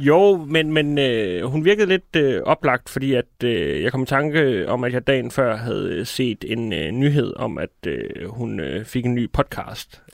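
In a very clean recording with a silent background and a dry, close sound with no echo, a man speaks very slowly with hardly any pauses and very wide pitch swings. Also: medium pitch for a man. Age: 30s. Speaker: comedian and writer. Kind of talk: casual chat. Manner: calm, jovial.

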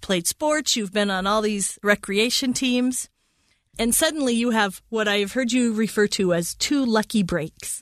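A woman with an ordinary speaking voice, fairly high in pitch with ordinary pitch variation, at a fairly slow pace against a quiet background.

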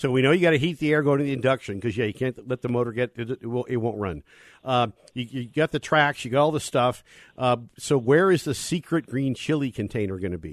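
In a dry, close sound with no echo and a quiet background, a normal speaking voice moves at a fairly quick pace with ordinary pitch variation. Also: man, medium pitch for a man. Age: 60s. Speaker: motorsports radio host, former race driver. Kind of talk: casual radio talk show.

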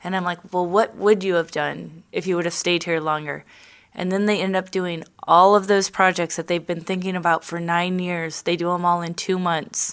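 With a St. Louis accent, a woman speaks in a fairly low pitch and a monotone, flat intonation, on a very clean recording with a silent background. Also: moderate pace. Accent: Midwestern American (St. Louis). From St. Louis, Missouri (South County). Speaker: real estate agent. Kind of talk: casual interview.

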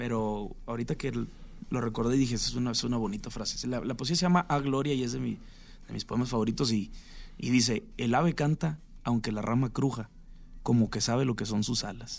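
In a plain, everyday voice, a man speaks at a medium pitch and a moderate pace. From Mexico, Sinaloa. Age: 30s. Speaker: singer-songwriter. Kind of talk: radio interview.

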